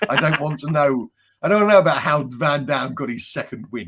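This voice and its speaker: This is a man speaking. He has an English accent. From England. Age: 40s. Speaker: crime fiction author. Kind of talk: casual chat.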